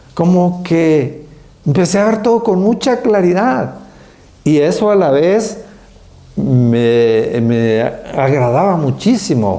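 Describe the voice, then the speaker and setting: The speaker's pitch swings very widely while loudness stays very even, at a very slow pace. Room echo is audible, and there is noticeable background noise. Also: man, high pitch for a man. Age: 70s. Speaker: speaker on senior care. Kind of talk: testimony.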